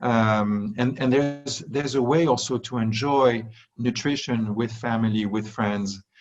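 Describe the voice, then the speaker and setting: With a French accent, a man speaks at a medium pitch with fairly even intonation. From France. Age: 40s. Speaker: wellness industry executive. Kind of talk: interview. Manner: halting, many fillers and restarts.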